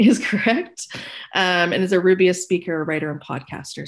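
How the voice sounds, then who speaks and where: A woman with a Canadian accent at a medium pitch, moderate pace and ordinary pitch variation, over a quiet background. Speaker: community call moderator. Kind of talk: panel moderation on live-streamed video call. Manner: hesitant, many fillers.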